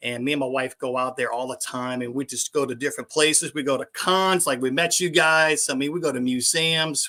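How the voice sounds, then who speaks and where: A man with a New Orleans accent, moderate pace, bright and sharp tone, fairly even intonation, and a dry, close sound with no echo on a very clean recording with a silent background. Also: hardly any pauses. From New Orleans, Louisiana. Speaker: YouTube vlogger. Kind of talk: casual chat.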